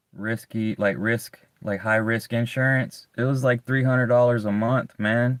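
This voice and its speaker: Flat and monotone, a man speaks at medium pitch. He keeps a moderate pace with a Southern US accent. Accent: southern US, strong S's. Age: 30s. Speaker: live streamer. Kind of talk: casual chat. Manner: halting, repetitive.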